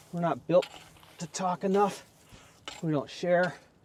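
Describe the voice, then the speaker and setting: Over noticeable background noise, a man talks at a high pitch, the sound dry and close with no echo. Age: old. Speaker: podcast host. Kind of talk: casual talk to camera. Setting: outdoors.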